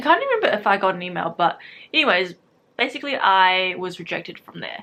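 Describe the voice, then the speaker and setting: Fairly quick speech from a woman with a New Zealand accent, medium in pitch, with a bright, sharp tone. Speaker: youtuber / university student. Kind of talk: casual vlog storytelling. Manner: casual, filler-heavy.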